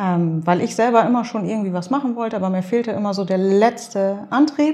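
Somewhat breathy and dark, mellow in tone, a woman with a medium pitch and ordinary pitch variation talks at a fairly quick pace. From Nordhorn, Grafschaft Bentheim, northwest Germany. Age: 30s. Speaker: social media blogger and columnist. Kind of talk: casual interview. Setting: office.

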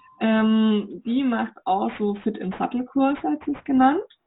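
The speaker talks at a fairly slow pace in a Franconian accent, with lively intonation. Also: woman. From Germany, Upper Franconia. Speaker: riding instructor. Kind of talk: interview.

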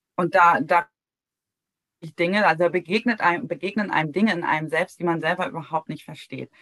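In an unremarkable speaking voice, a woman with a fairly low pitch talks at a fairly quick pace with ordinary pitch variation and a dry, close sound with no echo. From Heligoland, northern Germany. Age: 40s. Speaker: founder of a grief support platform. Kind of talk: interview conversation.

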